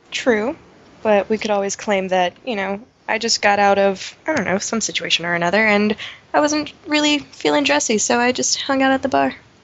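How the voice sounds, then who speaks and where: A woman speaks at a fairly quick pace and a medium pitch, with very wide pitch swings. Noticeable background noise is present. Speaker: tabletop game player. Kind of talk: casual game chat with in-character dialogue.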